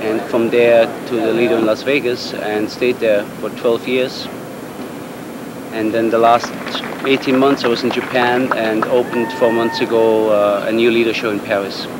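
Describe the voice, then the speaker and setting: A man speaks at medium pitch in a monotone, flat intonation. Noticeable background noise runs through the clip. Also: moderate pace. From Switzerland. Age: 30s. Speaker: juggler. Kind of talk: interview.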